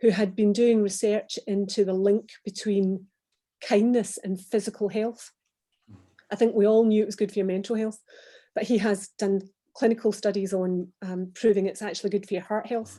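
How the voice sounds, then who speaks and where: A woman speaks in a Glaswegian accent at a medium pitch and a moderate pace. Her tone is dark and mellow, her intonation flat and monotone. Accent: Glaswegian Scottish. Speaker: former business executive. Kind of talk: online panel interview. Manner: hesitant, many fillers and repeats.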